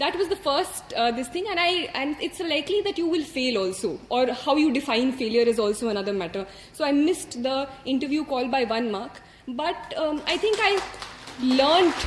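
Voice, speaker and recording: With an Indian accent, a woman speaks at a high pitch and a moderate pace, her pitch swinging very widely. Noticeable background noise sits behind her. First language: Hindi. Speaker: civil service exam topper. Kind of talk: motivational speech. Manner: hesitant, many fillers.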